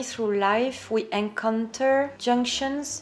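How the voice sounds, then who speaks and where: A high-pitched woman's voice in a French accent, with noticeable background noise. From France. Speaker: YouTuber. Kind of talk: casual chat; reading aloud. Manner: animated.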